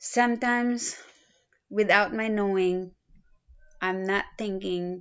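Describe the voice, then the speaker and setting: A woman at a medium pitch and a very slow pace, fairly even in intonation, with long, frequent pauses. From Philippines. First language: a Philippine language. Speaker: student. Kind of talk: self-introduction video. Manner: halting, with fillers.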